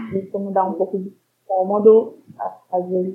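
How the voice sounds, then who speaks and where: Fairly even intonation at a fairly slow pace, from a woman at medium pitch. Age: 20s. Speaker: university student with neurofibromatosis. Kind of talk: interview. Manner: halting.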